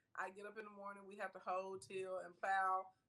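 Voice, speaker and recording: In a Southern US accent, a woman is speaking. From US South, rural Arkansas (Scott). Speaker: entrepreneur and online personality. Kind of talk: interview.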